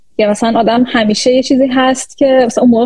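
A woman talks at a very fast pace in a high pitch. Noticeable background noise runs underneath. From Iran. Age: 30s. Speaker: AI research scientist. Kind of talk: interview. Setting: live stream.

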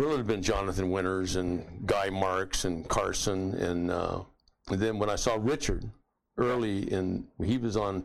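With an American accent, a man speaks at a fairly slow pace in an unremarkable speaking voice, fairly low in pitch, with ordinary pitch variation. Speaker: comedian. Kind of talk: casual interview chat.

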